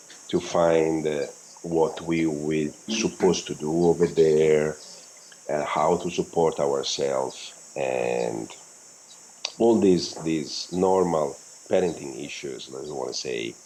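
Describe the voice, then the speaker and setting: Noticeable background noise sits behind a man's very deep, low voice. He talks at a very slow pace. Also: ordinary pitch variation. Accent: non-native. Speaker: world-travelling parent, physical therapist. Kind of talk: casual interview chat. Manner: halting.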